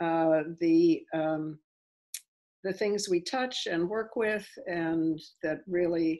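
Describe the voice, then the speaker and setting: Over a quiet background, a woman with a fairly low pitch and ordinary pitch variation speaks at a very slow pace. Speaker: interview guest. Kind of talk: interview answer. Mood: thoughtful, warm. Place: home room. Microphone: video call.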